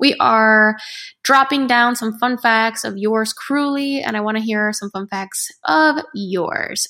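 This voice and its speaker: A woman speaks at a fairly high pitch with ordinary pitch variation and a bright, sharp tone. The recording is very clean, with a silent background. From United States, Spanish-speaking household. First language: Spanish. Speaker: podcast host. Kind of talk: casual monologue.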